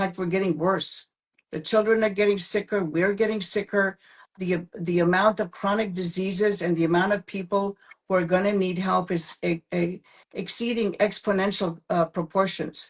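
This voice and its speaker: The voice is somewhat breathy, with monotone, flat intonation, and it moves at a moderate pace. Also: woman, medium pitch for a woman. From former Yugoslavia. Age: 70s. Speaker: probiotics expert. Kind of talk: interview. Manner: emphatic.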